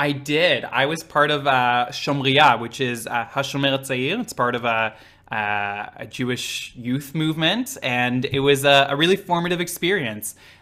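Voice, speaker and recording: Speaking at a moderate pace with hardly any pauses, a man with a slight Israeli accent uses a fairly high pitch and ordinary pitch variation. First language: Hebrew. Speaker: drag queen. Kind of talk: casual interview.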